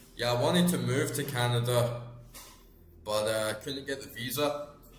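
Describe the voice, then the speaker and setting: With an Edinburgh accent, a man of medium pitch talks at a moderate pace amid noticeable background noise and audible room echo. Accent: Scottish (Edinburgh). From Scotland, Edinburgh. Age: 30s. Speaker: gaming streamer. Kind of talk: casual chat while live-streaming a game. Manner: animated.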